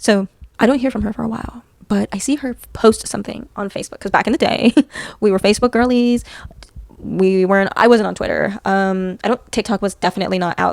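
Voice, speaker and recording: A soft-spoken woman talks at a very fast pace, her medium-pitched voice fairly even in intonation. The sound is dry and close, with no echo. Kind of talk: scary story telling to camera. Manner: soft-spoken, relaxed, conversational.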